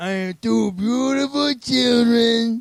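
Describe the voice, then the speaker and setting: Doing a put-on character voice, a man speaks at an extremely high pitch and a fairly slow pace. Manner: slurred.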